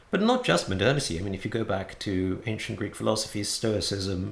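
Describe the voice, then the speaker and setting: A man with an English accent at a fairly quick pace, with audible room echo. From England. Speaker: Buddhist teacher. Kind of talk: lecture. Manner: frequent hesitations and repetitions.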